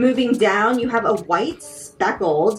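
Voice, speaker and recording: Speaking at a fairly slow pace with a General American accent, a woman swings her pitch very widely while music plays in the background. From Washington DC region. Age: 30s. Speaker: sneaker content creator. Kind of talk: product unboxing talk to camera.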